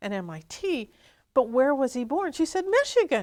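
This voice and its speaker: An American accent comes through with very wide pitch swings at a fairly quick pace. The recording is very clean with a silent background. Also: woman. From southern Indiana, US. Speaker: speech and accent coach. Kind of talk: interview.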